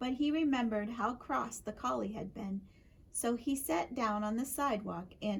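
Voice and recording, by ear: Someone reads aloud in a natural voice.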